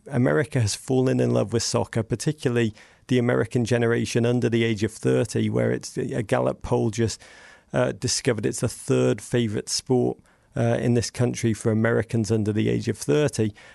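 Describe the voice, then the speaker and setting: A man with a British accent and a dark, mellow tone at medium pitch, lively intonation, very even loudness and a fairly quick pace, in a dry, close sound with no echo. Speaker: soccer podcaster. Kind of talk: casual interview chat. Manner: animated, witty.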